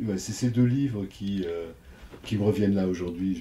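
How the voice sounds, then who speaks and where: Very deep, low pitch from a man at a fairly quick pace, with fairly even intonation. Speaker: psychoanalyst. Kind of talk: interview. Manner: halting.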